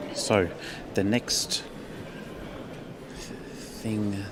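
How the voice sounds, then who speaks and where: A man talks with an Australian accent. Noticeable background noise runs behind him. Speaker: livestream presenter. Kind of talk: live event commentary and interview.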